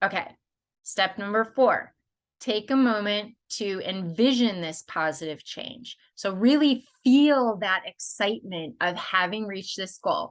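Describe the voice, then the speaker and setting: A woman speaks in an ordinary speaking voice at a fairly slow pace, with lively intonation and big swings in loudness. The background is quiet. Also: medium pitch for a woman. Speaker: life coach. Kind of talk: tutorial. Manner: casual, conversational.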